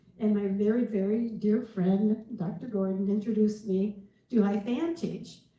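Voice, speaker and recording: Over noticeable background noise, a woman talks with a fairly high pitch and ordinary pitch variation. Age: 70s. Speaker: dietitian. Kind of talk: testimony. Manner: halting.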